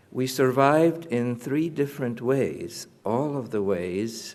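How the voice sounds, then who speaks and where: A man talking at a very slow pace. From Poland (now western Ukraine), near Lviv. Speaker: Holocaust survivor. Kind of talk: testimony. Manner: halting, many fillers.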